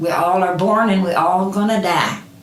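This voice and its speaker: A voice with an American accent moves at a fairly slow pace with ordinary pitch variation, amid audible room echo and noticeable background noise. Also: woman. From Kentucky, Ohio County. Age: 80s+. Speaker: interviewee. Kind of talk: interview answers. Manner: halting.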